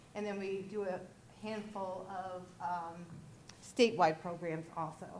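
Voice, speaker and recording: Over noticeable background noise and audible room echo, a woman speaks at a fairly slow pace in a medium pitch, her intonation monotone and flat. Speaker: state rural health program director. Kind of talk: conference presentation. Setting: conference breakout room. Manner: loud; hesitant, many fillers.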